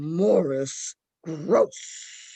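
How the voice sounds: This is a put-on character voice at middle pitch. It sounds raspy.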